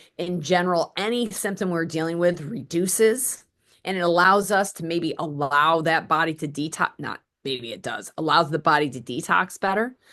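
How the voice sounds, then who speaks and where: The voice has an intense, bright, sharp tone with big swings in loudness. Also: woman, fairly low pitch for a woman, ordinary pitch variation, quiet background. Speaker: wellness practitioner. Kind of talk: interview. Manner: fast; intense rush of words.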